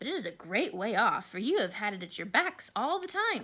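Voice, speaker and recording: In a squeaky, put-on character voice, a woman talks at a fairly quick pace and fairly high pitch with very wide pitch swings. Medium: read story.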